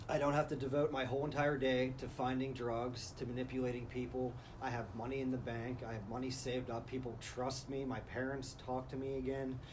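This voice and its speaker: Amid noticeable background noise and audible room echo, a man speaks at a fairly quick pace in a medium pitch with monotone, flat intonation. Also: hardly any pauses. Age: 30s. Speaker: recovering drug addict. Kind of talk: interview testimony.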